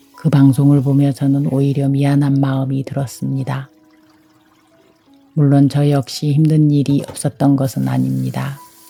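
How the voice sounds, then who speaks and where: A woman's very deep, low voice, monotone and flat, at a fairly slow pace with music in the background. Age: 60s. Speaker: homemaker, carpenter's wife. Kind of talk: reflective vlog voiceover narration.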